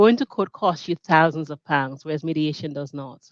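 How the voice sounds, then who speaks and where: At a fairly quick pace, a woman speaks with a fairly low pitch. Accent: Caribbean. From Grenada. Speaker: mediator and business founder. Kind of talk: interview. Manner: halting.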